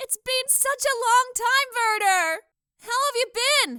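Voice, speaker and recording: The speaker uses a put-on character voice that is squeaky and extremely high, delivered at a fairly slow pace. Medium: audio drama. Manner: warm, affectionate, nurturing.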